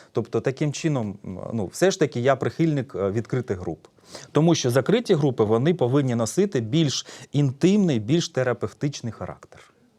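A man's dark, mellow tone at a medium pitch with lively intonation, a moderate pace and a very clean recording with a silent background. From eastern Ukraine, Donetsk region (Horlivka). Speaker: psychologist. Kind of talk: public talk. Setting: stage with audience.

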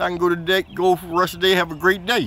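A high-pitched man at a very fast pace, with dry sound with no echo and light background noise. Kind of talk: casual vlog chat. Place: station. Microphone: phone near.

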